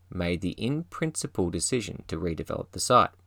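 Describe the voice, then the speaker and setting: Pompous in tone, a man with an Australian accent speaks at a moderate pace with very wide pitch swings, in a dry, close sound with no echo on a very clean recording with a silent background. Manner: formal, measured, dry and mock-pompous with wry gravity.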